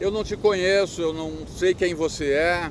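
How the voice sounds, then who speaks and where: A man with a high pitch speaks at a fairly slow pace and with fairly even intonation, with noticeable background noise behind him. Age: 60s. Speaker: motivational speaker. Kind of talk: casual talk to camera. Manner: halting, repetitive.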